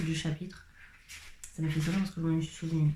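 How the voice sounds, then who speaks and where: A woman talks in a fairly low pitch. Noticeable background noise runs underneath. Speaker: vlogger. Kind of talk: casual talk to camera. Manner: chatty.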